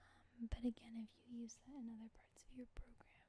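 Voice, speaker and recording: Someone whispers, soft-spoken, in a relaxed tone. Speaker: ASMR video creator teaching programming. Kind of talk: ASMR programming tutorial, casual talk to camera. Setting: close microphone recording, dogs in the background. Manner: soft-spoken, whispering, relaxed.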